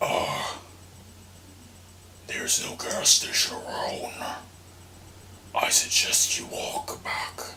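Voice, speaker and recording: A man's raspy, put-on character voice at an extremely high pitch, delivered very slowly. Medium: read story. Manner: creepy, terse, ominous.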